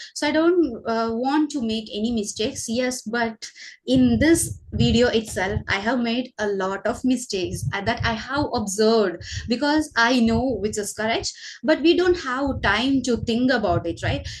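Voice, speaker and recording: A woman with a Keralan accent speaks at a fairly slow pace. Her fairly high voice has lively intonation. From Kerala, India. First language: Malayalam. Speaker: teacher and channel host. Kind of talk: casual conversation for English learners. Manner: hesitant, many fillers.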